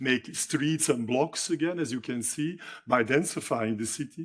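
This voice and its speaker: Here a man talks at a moderate pace. His voice sits at a fairly high pitch. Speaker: architecture lecturer. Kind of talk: lecture. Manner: halting, many fillers.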